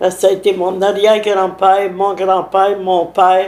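Speaking at a fairly slow pace, a woman has a medium pitch. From Quebec, Lanaudière (Saint-Alphonse-Rodriguez). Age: 90s. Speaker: village elder. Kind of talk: interview.

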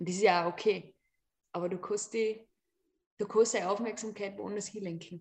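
A woman at medium pitch speaks at a moderate pace in a monotone, flat intonation, pausing long and often. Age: 30s. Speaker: yoga teacher and artist. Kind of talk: casual chat.

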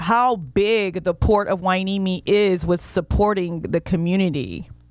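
Speaking at a fairly slow pace, a woman with an American accent uses a medium pitch. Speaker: radio host. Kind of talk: radio interview show. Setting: studio. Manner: upbeat, animated.

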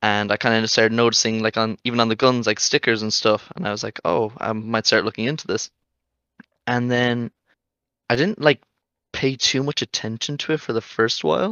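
The speaker talks at a fairly quick pace with an Irish accent and ordinary pitch variation. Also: man, medium pitch for a man. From Ireland. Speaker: esports journalist volunteer. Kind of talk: casual chat.

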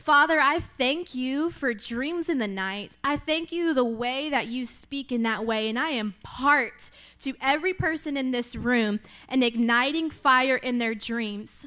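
A woman speaks in a raised, projected voice with an animated, bright and sharp tone. Her pitch is high, with ordinary variation, at a fairly slow pace. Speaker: preacher. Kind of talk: sermon. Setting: church.

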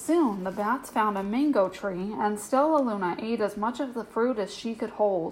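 The speaker offers plain reading aloud.

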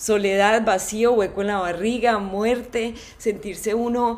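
A woman speaks with a fairly high pitch. Her intonation stays flat and monotone. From Colombia, Manizales. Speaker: podcast host. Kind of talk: solo monologue.

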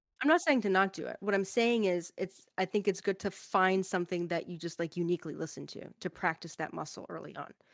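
A woman with an unremarkable speaking voice talks fairly quickly at medium pitch with ordinary pitch variation, hardly any pauses and big swings in loudness, in a dry, close sound with no echo. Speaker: language learning podcast co-host. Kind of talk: casual chat.

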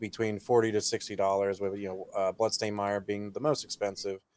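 A man talks at a very fast pace. His voice sits fairly low in pitch. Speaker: podcast host. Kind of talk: casual chat.

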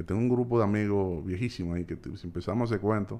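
A man with a Dominican accent talks at a very fast pace, his fairly low voice held in fairly even intonation. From Dominican Republic, Santo Domingo. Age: 40s. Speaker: entrepreneur. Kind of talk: casual chat.

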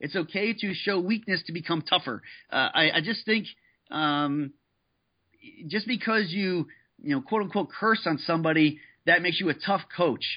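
An animated tone with ordinary pitch variation and long, frequent pauses. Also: man, high pitch for a man. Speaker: former college strength coach, fitness entrepreneur. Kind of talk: interview. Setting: phone call. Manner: fast.

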